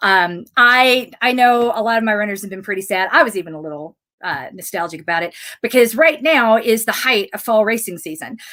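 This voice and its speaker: A woman's fairly high, lively voice at a fairly quick pace. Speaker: running coach and fitness program founder. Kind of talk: live Q and A broadcast. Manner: fast.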